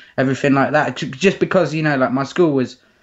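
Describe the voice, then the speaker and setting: A man speaking at a very fast pace, with ordinary pitch variation. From southern England, Oxfordshire (Abingdon). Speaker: battle rapper. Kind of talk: casual interview. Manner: casual, slangy with frequent fillers and repetitions.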